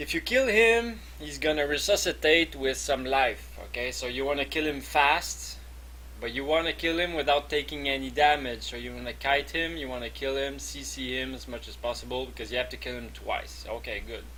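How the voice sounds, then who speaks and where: The man talks at a moderate pace, his loudness rising and falling in big swings. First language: not English. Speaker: gaming video creator. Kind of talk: tutorial. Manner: halting, many fillers and repeats.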